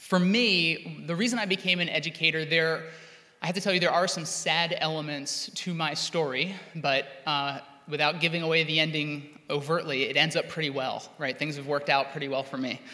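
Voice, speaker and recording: Fairly even intonation carries this man's fairly quick delivery. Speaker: teacher giving keynote. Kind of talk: keynote speech. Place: hall. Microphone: podium.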